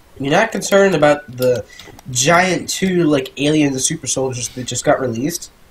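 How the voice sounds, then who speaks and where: Noticeable background noise accompanies a man speaking. His pitch is fairly high, with ordinary variation. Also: moderate pace. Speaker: gaming youtuber. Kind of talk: let's play commentary. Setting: home recording, playing game. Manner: casual, chatty.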